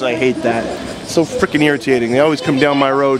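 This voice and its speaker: A man's voice comes through with a dry sound with no echo over noticeable background noise. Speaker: vlogger and parent; vlogger. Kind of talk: casual vlog narration. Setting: car and home center store.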